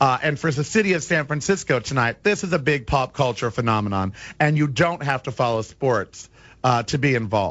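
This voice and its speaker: Speaking at a fairly quick pace, a man with an American accent uses lively intonation at a medium pitch. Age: 40s. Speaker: radio talk show host. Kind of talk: talk radio monologue.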